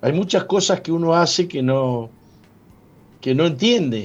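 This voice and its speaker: A man is speaking. His pitch swings very widely. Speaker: pastor and radio host. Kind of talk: radio sermon.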